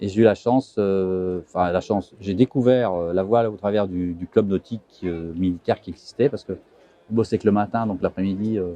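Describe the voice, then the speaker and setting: A man speaks at a moderate pace in a fairly low voice with a dark, mellow tone and fairly even intonation. The sound is dry and close, with no echo. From France, Vosges (Mirecourt). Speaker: sailor. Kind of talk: interview. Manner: halting.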